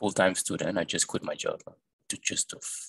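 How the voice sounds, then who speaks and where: With a non-native accent, a man speaks at a moderate pace, recorded with a dry, close sound and no echo. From Cambodian family, born in Thailand. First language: not English. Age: young. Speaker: student, interview guest. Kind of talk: casual interview. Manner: halting, many fillers and repetitions.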